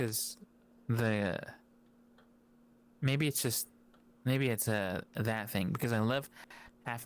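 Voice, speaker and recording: On a very clean recording with a silent background, a man of medium pitch talks with ordinary pitch variation and long, frequent pauses. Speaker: content creator. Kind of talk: casual chat.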